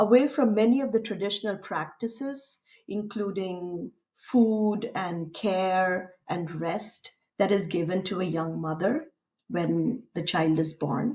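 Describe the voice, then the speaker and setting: A woman with a Tamil accent, somewhat breathy and dark and mellow in tone, with lively intonation at a very slow pace. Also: medium pitch for a woman. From India, Tamil-speaking. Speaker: artist. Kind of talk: interview.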